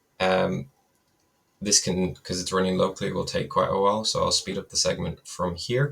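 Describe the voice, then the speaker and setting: Speaking in an Irish accent, a man keeps a moderate pace. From west of Ireland. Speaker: data and AI developer. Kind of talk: software demo. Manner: casual, hesitant with fillers.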